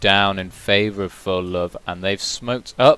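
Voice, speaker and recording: Speaking in a British accent, a man uses a fairly low pitch. His intonation stays fairly even at a moderate pace. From Britain. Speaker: esports caster. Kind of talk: live commentary.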